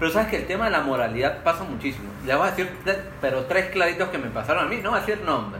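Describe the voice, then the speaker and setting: Over noticeable background noise and audible room echo, a man talks at a very fast pace in a high pitch with lively intonation. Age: 30s. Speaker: podcast co-host. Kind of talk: casual chat.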